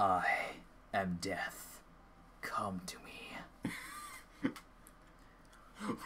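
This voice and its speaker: The put-on character voice is raspy and low in pitch. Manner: menacing, theatrical.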